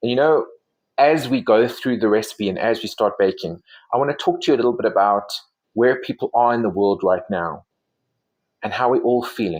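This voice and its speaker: A man at a fairly quick pace with long, frequent pauses, in a very clean recording with a silent background. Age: 40s. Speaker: baking vlogger and life coach. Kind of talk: casual cooking tutorial with reflections. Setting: home kitchen. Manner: warm, conversational.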